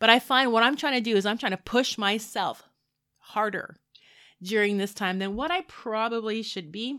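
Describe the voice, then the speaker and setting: A woman's fairly high, bright and sharp voice at a moderate pace, on a very clean recording with a silent background. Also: ordinary pitch variation. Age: 40s. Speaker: podcast host and life coach. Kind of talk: solo podcast monologue. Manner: casual, conversational with fillers.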